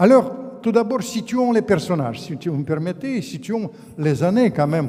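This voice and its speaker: With noticeable background noise behind him, a man speaks at a fairly slow pace using very wide pitch swings. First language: Russian (speaking French). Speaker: author and former diplomat. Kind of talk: public lecture. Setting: conference hall with audience. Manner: halting, with repetitions.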